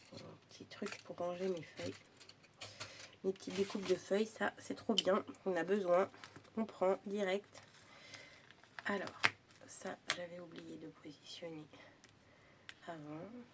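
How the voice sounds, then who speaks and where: Over noticeable background noise, a woman at a medium pitch speaks at a very slow pace with fairly even intonation, long, frequent pauses and big swings in loudness. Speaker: crafting youtuber. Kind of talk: tutorial. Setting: at home. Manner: casual chatty.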